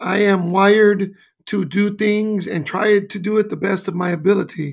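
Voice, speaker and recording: The man's voice is high in pitch. He talks with an American accent. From Los Angeles, California. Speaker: basketball coach. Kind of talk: interview. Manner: animated storytelling.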